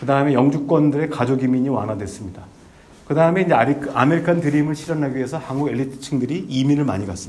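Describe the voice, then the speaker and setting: Pitched fairly high, a man talks very fast with ordinary pitch variation. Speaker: former diplomat and visiting professor giving a lecture. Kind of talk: lecture. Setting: lecture hall with audience. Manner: halting, many fillers.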